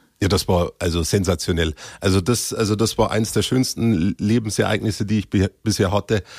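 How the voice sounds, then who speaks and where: With a Bavarian accent, this fairly quick speaker has ordinary pitch variation and very even loudness, recorded very cleanly against a silent background with a dry, close sound and no echo. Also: man, fairly low pitch for a man. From Bavaria, Upper Palatinate (Cham district). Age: 20s. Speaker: actor. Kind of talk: casual chat.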